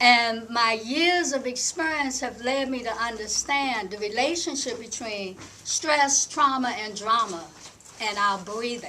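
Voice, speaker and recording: Her high-pitched voice moves at a fairly slow pace with ordinary pitch variation. Audible room echo and noticeable background noise surround the woman. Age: 60s. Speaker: breathing coach and panelist. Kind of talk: panel talk. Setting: conference workshop with audience. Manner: halting, many filler words.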